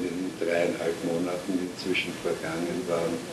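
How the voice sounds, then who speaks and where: Someone speaks at a fairly slow pace over noticeable background noise. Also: man. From Vienna, Austria. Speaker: writer and Holocaust-era refugee witness. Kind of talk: oral history interview answer. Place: home room.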